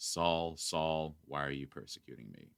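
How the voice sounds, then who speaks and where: At a moderate pace, a man puts on a character voice pitched very deep and low. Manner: booming, solemn.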